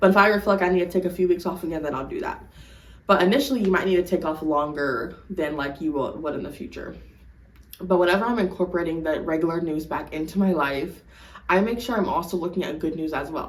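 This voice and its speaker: A woman talks at a very fast pace with ordinary pitch variation. Her pitch sits fairly low, and the room echo is audible. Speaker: lifestyle vlogger. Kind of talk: casual advice monologue. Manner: stutters when unsure; animated, swears a lot.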